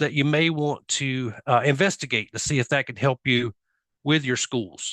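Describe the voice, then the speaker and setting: A man's fairly high voice with a Southern US accent at a fairly quick pace, with a dry, close sound and no echo. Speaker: software industry presenter. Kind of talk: conference presentation.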